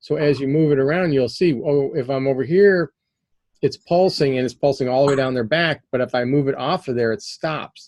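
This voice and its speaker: A fairly high male voice with ordinary pitch variation. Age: 60s. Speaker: PEMF therapy instructor. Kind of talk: online class Q&A. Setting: video call. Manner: halting.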